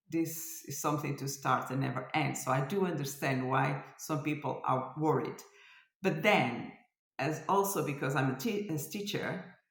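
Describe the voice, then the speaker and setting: A woman's very deep, low voice with ordinary pitch variation, at a moderate pace in audible room echo. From France. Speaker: cross stitch designer and vlogger. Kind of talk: casual vlog chat. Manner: hesitant, searching for words.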